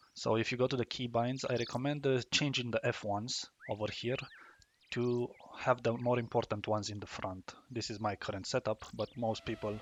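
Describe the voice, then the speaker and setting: At a fairly quick pace, a man with a non-native accent speaks in a medium pitch with monotone, flat intonation. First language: not English. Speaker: gaming YouTuber. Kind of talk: tutorial. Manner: halting, with many fillers and restarts.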